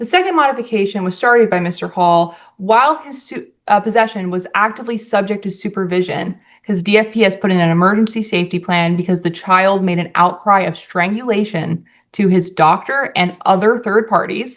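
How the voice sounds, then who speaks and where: Over a quiet background, a woman speaks at a fairly quick pace in a plain, everyday voice, with medium pitch and ordinary pitch variation. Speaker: attorney. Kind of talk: courtroom opening statement. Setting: courtroom.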